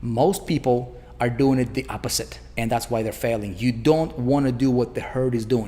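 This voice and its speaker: A man talks fairly quickly at medium pitch with a non-native accent. Noticeable background noise runs beneath his voice. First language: not English. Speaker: online marketing coach. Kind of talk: sales pitch. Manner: animated; casual, filler-heavy.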